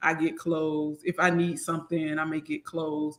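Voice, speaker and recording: A woman with a bright, sharp tone and a Southern US accent. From US South. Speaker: accountant and business owner. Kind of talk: casual interview chat. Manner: animated, conversational.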